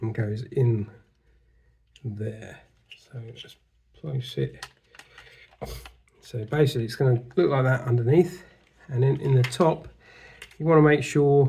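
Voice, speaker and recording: A man speaks with a dark, mellow tone that is somewhat breathy. His pitch is medium, with ordinary variation. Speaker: model kit builder. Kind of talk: casual build tutorial to camera.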